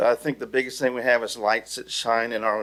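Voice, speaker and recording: Speaking at a fairly quick pace, a man with an ordinary speaking voice keeps a medium pitch and fairly even intonation. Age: 60s. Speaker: local resident. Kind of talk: public comment. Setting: city council meeting.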